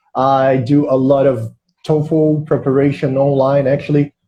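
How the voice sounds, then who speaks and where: A man talks at a fairly slow pace in a Portuguese accent. His voice sits fairly high and sounds somewhat breathy. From Brazil, Rio de Janeiro. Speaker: English exam prep teacher. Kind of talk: casual chat.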